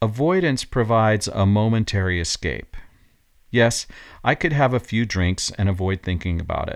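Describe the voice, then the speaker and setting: A man with a plain, everyday voice speaks at a moderate pace and fairly low pitch, on a very clean recording with a silent background. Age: 50s. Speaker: podcast host and coach. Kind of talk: scripted reflective monologue.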